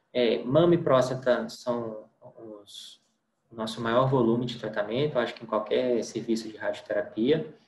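A man talks at a fairly slow pace, his pitch medium and his intonation fairly even. His loudness swings widely, and the room echo is audible. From Brazil, interior of Minas Gerais. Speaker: radiation oncologist. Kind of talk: lecture. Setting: online lecture with slides. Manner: hesitant, with repetitions. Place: home room. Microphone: webcam.

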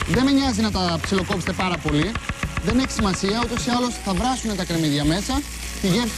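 Through loud background noise, a woman talks at a very fast pace. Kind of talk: tutorial. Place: studio. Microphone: lapel.

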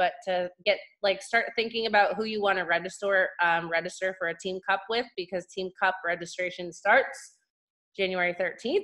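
A woman speaks at a fairly quick pace in a bright, sharp tone. Her pitch varies in an ordinary way over a quiet background. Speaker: team coach leading meeting. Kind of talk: meeting announcements. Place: home room. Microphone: video call.

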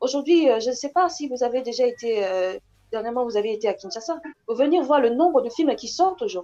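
A woman talks at a fairly quick pace with lively intonation. Her high voice has a dark, mellow tone. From DR Congo. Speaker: actress. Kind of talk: interview. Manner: halting. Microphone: earbuds.

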